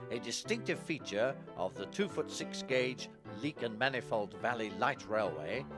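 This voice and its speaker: A man at medium pitch with very wide pitch swings and a fairly slow pace, music in the background. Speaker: railway film historian. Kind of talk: documentary introduction and narration.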